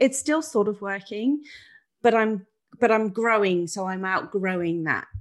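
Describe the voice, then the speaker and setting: With a plain, everyday voice, a woman speaks at a medium pitch and fairly slow pace, using lively intonation against a quiet background. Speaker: podcast co-host. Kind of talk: casual chat. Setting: video call.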